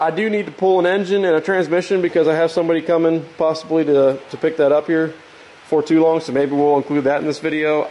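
The voice keeps very even loudness and ordinary pitch variation. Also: man. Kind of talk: casual workshop vlog explanation. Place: workshop. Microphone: phone near.

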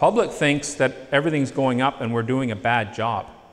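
A man talks with a Canadian accent. His pitch variation is ordinary. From Northern Ontario, Canada; Ontario, Canada. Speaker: agronomist / soil lab specialist; presenter. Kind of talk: presentation to farmers; lecture. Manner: conversational, with filler hesitations. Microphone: handheld.

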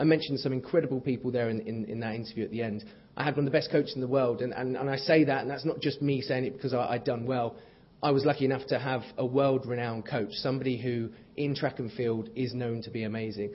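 A man talks at a very fast pace. His voice is somewhat breathy. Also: ordinary pitch variation. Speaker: guest. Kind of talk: keynote speech with anecdotes. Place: hall. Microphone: podium.

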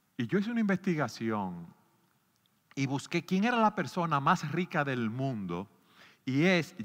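A man speaks in a bright, sharp tone with very wide pitch swings, on a very clean recording with a silent background. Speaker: pastor. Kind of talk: sermon.

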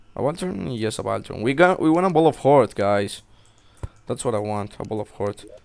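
The speech goes at a moderate pace with lively intonation. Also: man. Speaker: gaming video creator. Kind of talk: let's play commentary.

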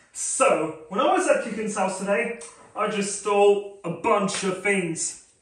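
Room echo can be clearly heard on a man's voice. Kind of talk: casual vlog chat. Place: home room.

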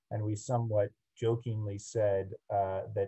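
Over a quiet background, a man speaks fairly slowly in a fairly low, dark and mellow voice that is somewhat breathy and monotone, flat in intonation. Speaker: architect giving a lecture. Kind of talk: lecture. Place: home room. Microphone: video call.

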